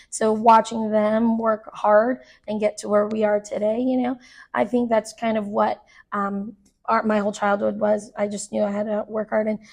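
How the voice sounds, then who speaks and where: A woman's fairly high, somewhat breathy voice with an American accent at a moderate pace. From Arizona, Phoenix area. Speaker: choreographer and dance teacher. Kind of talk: casual interview chat.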